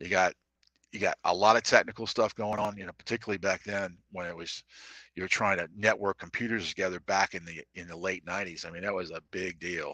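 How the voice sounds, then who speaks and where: A man's very deep, low voice with a bright, sharp tone, monotone and flat, very fast, with big swings in loudness, dry and close with no echo, against a quiet background. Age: 60s. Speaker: salesman. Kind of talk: casual chat. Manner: halting.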